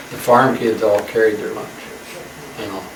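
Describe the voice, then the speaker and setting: A man with an American accent speaks at a fairly low pitch. Noticeable background noise and audible room echo accompany the recording. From Nebraska, US Midwest (Elkhorn). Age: 90s. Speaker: local resident, oral history interviewee. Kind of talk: oral history interview. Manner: casual, reminiscing with fillers.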